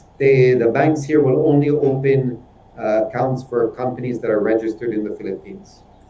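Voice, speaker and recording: A man's fairly even intonation, somewhat breathy voice and fairly quick pace mark his speech. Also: medium pitch for a man. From Switzerland. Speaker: businessman. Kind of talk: webinar discussion.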